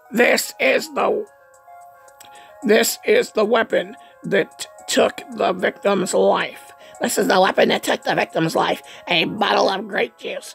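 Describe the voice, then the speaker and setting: In a put-on character voice, a raspy man with a high pitch speaks fairly slowly with long, frequent pauses as faint music plays in the background. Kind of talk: comic overacting. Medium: fan dub. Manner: pompous, sneering.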